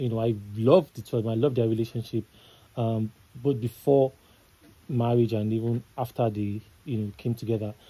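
A man talks with a dark, mellow tone and a somewhat breathy quality, leaving long, frequent pauses. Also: fairly even intonation, moderate pace. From Nigeria. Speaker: entertainment news analyst. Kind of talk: casual chat. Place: studio. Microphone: studio mic.

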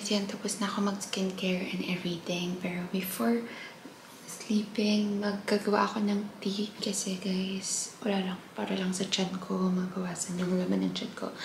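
The speech is flat and monotone, set against noticeable background noise. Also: woman, medium pitch for a woman, moderate pace. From Philippines. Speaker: vlogger. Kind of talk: casual vlog talk. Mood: relaxed, a bit emotional at end. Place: kitchen. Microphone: phone near.

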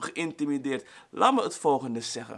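Against a quiet background, the speech comes at a fairly slow pace in an animated, bright, sharp tone. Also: man. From Suriname, raised in the Netherlands. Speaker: YouTuber. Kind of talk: vlog monologue. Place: home room.

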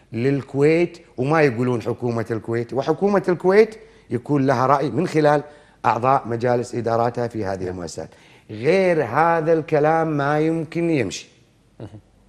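A man with a plain, everyday voice speaks at a moderate pace. His pitch is fairly high and his intonation lively. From Kuwait. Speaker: veteran broadcaster; TV guest. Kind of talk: interview; interview answer. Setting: studio. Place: studio. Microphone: lapel.

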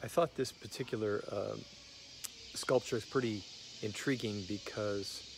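Over noticeable background noise, a man speaks fairly slowly at a fairly low pitch with fairly even intonation, in a dry sound with no echo. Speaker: traveler vlogger. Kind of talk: casual vlog chat. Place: open country. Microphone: phone near.

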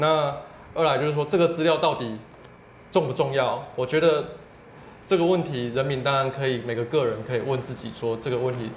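A man at a fairly quick pace, with audible room echo and light background noise. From Taiwan. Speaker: civil rights advocate; guest. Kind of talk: interview. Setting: office. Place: studio. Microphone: lapel.

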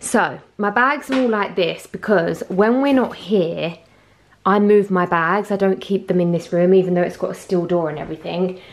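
A woman's intonation stays lively as she speaks at a moderate pace. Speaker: fashion vlogger. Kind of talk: casual vlog chat. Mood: chatty, slightly flustered. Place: home room. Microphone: phone near.

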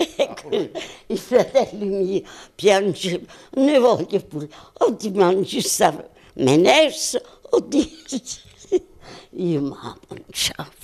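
Over a quiet background, a woman speaks at a very slow pace, her pitch swinging very widely, with long, frequent pauses. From Montella, province of Avellino, Italy. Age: 80s+. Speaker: centenarian being interviewed. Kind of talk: interview answer. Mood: warm, reminiscing. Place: home room. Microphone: handheld.

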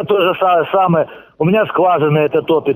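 A man's fairly even intonation at a moderate pace. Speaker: pumping station chief. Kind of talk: interview. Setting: phone call. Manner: halting.

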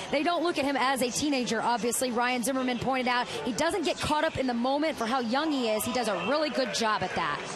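A woman talks at a very fast pace in a high voice, with lively intonation and hardly any pauses. Her loudness stays very even against noticeable background noise. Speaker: sideline reporter. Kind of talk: news reporting.

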